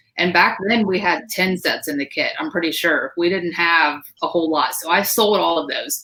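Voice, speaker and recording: A woman speaks at a fairly low pitch and a moderate pace, with hardly any pauses. Her pitch variation is ordinary. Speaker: direct sales team leader. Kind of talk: live stream panel talk. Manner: loud; animated.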